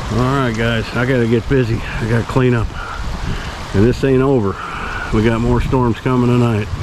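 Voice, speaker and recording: A man talks at a moderate pace in a monotone, flat delivery with very even loudness. The sound is dry with no echo, though noticeable background noise is present. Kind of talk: casual vlog chat. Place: open country. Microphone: phone near.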